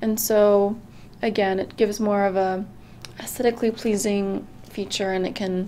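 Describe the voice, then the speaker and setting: Noticeable background noise is audible throughout. A woman talks with ordinary pitch variation. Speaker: student presenter. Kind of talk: class presentation screencast.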